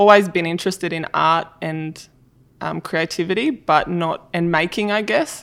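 The recording is very clean, with a silent background. Intonation stays fairly even. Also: woman, fairly low pitch for a woman, moderate pace. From Australia, far south coast of New South Wales. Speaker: design director. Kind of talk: interview.

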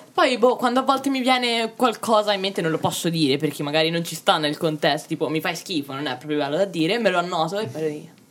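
Over noticeable background noise, a woman talks very fast in a fairly low voice with very wide pitch swings. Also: hardly any pauses. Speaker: artist. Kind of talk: casual chat.

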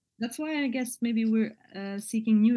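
A woman with a Bosnian accent speaks at a moderate pace and medium pitch, her intonation lively. Her tone is dark and mellow, and somewhat breathy. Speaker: poet and artist. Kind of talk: interview conversation. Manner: hesitant, with fillers.

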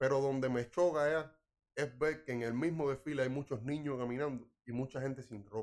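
A man speaks at medium pitch and moderate pace with fairly even intonation. Long pauses come often. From Ciego de Ávila, Cuba. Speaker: podcast co-host. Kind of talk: casual chat.

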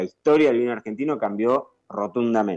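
A man with an ordinary speaking voice talks at a fairly quick pace, medium pitch and lively intonation. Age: 30s. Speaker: sommelier. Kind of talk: casual interview.

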